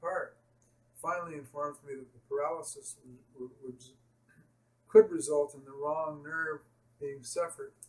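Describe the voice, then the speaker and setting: He has an ordinary speaking voice, pitched fairly high for a man. His pitch varies in an ordinary way and his pace is moderate. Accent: Canadian. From Canada. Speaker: patient telling his malpractice story. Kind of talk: personal testimony.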